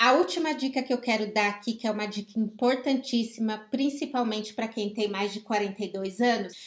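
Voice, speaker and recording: Fairly high in pitch, a woman speaks at a moderate pace with fairly even intonation. She has a plain, everyday voice. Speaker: life coach. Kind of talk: live stream talk.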